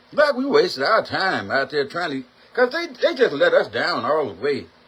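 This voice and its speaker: Over noticeable background noise, a man speaks at a moderate pace. His tone is animated, with very wide pitch swings. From US South (Mississippi). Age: 60s. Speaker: talk show host. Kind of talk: opinion rant.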